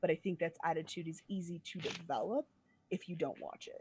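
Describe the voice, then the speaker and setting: A woman's medium-pitched, somewhat breathy voice moves through very wide pitch swings. The sound is dry and close, with no echo. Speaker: preacher. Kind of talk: casual chat. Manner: fast.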